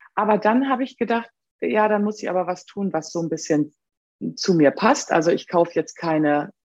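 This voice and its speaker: A woman talks at a moderate pace with lively intonation. Hers is an ordinary speaking voice. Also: big swings in loudness. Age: 50s. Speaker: upcycling craftswoman and social worker. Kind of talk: interview.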